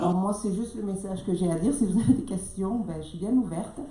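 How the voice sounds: A woman's medium-pitched voice, dark and mellow in tone, at a fairly quick pace with ordinary pitch variation and audible room echo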